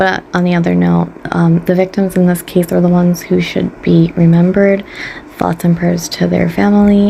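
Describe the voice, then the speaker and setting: At a moderate pace and with very even loudness, a woman speaks over noticeable background noise. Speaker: beauty and true crime YouTuber. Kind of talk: casual chat. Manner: animated.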